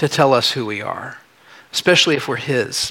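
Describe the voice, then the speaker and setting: Noticeable background noise runs under a man's moderately paced speech. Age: 40s. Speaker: pastor. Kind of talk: sermon. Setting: church.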